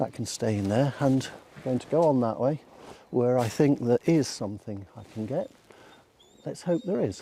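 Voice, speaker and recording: A soft-spoken man with a British accent, a medium pitch, a dark, mellow tone, lively intonation, and long, frequent pauses. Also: moderate pace. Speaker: photography vlogger. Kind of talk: casual vlog narration. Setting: outdoors in woods. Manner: hesitant, filler words.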